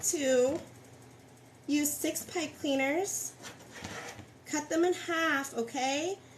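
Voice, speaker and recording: A woman's high voice with ordinary pitch variation amid noticeable background noise. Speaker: wreath crafter. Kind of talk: live tutorial. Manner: casual.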